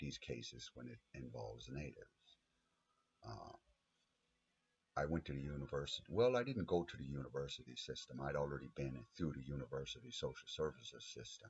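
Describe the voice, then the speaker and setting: Speaking fairly quickly, a man with a very deep, low voice and vocal fry uses ordinary pitch variation. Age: 50s. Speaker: abuse survivor advocate. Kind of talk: personal testimony monologue. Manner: halting, many fillers.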